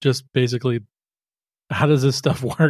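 With a very clean recording and silent background, a man uses an unremarkable speaking voice at a medium pitch with fairly even intonation. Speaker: podcast studio founder. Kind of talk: casual interview chat.

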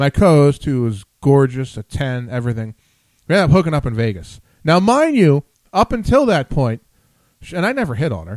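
A man with an American accent talks at a fairly quick pace and fairly high pitch, with very wide pitch swings, in a dry, close sound with no echo. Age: 40s. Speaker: radio show host. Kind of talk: casual chat interview, flirty banter. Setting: live online show, in studio. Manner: jokey, flirtatious, talkative.

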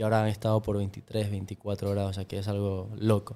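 In a very clean recording over a silent background, a man with a fairly low pitch speaks in a dark, mellow tone with monotone, flat intonation. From Ecuador. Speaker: podcast guest. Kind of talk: casual chat.

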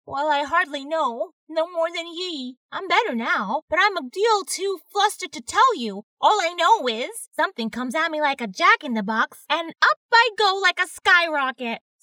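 A put-on character voice, squeaky and extremely high in pitch. It moves at a moderate pace with hardly any pauses. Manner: rural, dazed.

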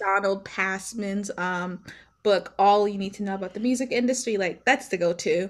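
Fairly even intonation at a moderate pace with an American accent, on a very clean recording with a silent background. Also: woman, medium pitch for a woman. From Maryland, US. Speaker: founder of women-in-music publication. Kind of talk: interview.

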